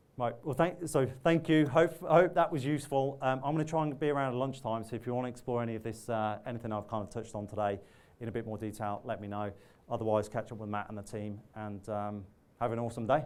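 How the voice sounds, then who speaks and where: Someone talks very fast with ordinary pitch variation, and audible room echo surrounds the voice. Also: man, medium pitch for a man. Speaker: technology partner manager. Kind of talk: conference keynote talk. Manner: halting, many false starts.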